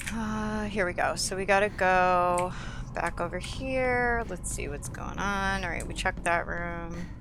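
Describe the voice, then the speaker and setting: Audible room echo surrounds a speaker with an American accent talking at a fairly slow pace. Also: woman. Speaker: gaming streamer. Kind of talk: let's play commentary. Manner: casual, conversational.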